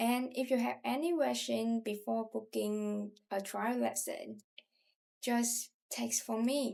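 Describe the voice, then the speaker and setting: A woman speaks very slowly in a Southern Vietnamese accent. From southern Vietnam, Ho Chi Minh City. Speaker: language tutor. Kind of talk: self-introduction.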